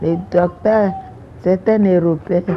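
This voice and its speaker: With noticeable background noise behind her, a woman speaks at a fairly low pitch with ordinary pitch variation. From Ivory Coast, Grand-Lahou region. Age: 80s+. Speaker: retired nurse and midwife. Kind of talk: interview testimony. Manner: halting.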